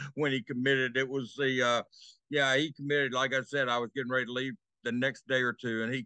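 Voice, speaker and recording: A man's very fast, monotone delivery with flat intonation and a bright, sharp tone, dry with no echo, over a quiet background. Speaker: remote sports analyst. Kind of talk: interview answer. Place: home room. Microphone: video call.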